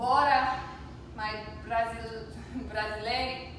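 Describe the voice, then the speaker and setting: A woman at a very slow pace, with strong room echo and noticeable background noise. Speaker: fitness instructor. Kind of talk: workout instruction. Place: home room.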